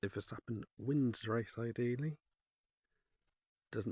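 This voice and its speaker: Recorded with a dry, close sound and no echo, a man speaks at a fairly slow pace in a somewhat breathy voice of medium pitch. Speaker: motorsport commentator. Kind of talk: casual sports commentary.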